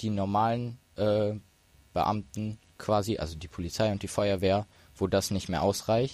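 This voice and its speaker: This is a man with a fairly low pitch and an unremarkable speaking voice. The recording is very clean, with a silent background. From Ruhr area, Germany (Duisburg). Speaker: disaster relief volunteer. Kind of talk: casual chat. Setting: hacker event.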